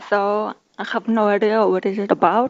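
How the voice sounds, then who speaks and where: A woman speaks with a Kazakh accent. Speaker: conference speaker. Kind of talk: conference talk. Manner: halting.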